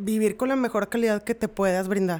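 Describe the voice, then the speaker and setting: Recorded very cleanly against a silent background, a woman speaks. Her pace is moderate. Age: 30s. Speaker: host's sister. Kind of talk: casual chat.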